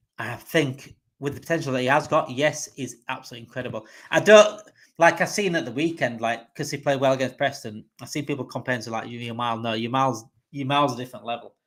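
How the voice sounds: A man speaks fast at a medium pitch, his tone fairly bright and his pitch variation ordinary.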